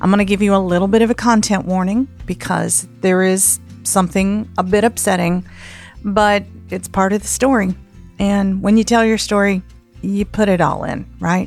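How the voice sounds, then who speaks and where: A woman with a Southern US accent at a moderate pace, with music in the background. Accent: Southern American. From Southern United States. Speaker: podcast host, storyteller. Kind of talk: podcast host intro and personal story.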